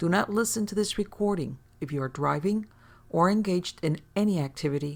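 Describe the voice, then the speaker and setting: A woman with a plain, everyday voice, at a fairly low pitch with ordinary pitch variation and a fairly quick pace, in a very clean recording with a silent background. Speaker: hypnotherapist. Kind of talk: recorded disclaimer read.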